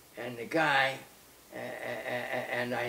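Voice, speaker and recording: The speaker has an American accent. Noticeable noise sits in the background. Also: man. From United States. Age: 80s+. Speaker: wandering sadhu. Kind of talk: interview answer. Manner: hesitant.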